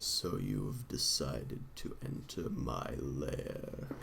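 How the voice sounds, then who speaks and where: Over clear background noise, a man uses a put-on character voice and speaks at a very slow pace. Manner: menacing.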